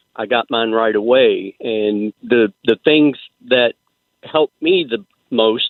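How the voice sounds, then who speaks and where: A man with a normal speaking voice talks at medium pitch and a fairly slow pace. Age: 60s. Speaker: caller. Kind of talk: call-in conversation.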